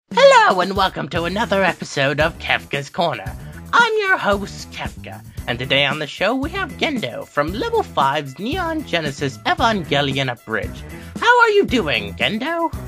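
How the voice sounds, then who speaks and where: Someone uses a put-on character voice at a moderate pace while clear music plays in the background. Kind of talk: parody talk show host. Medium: audio drama.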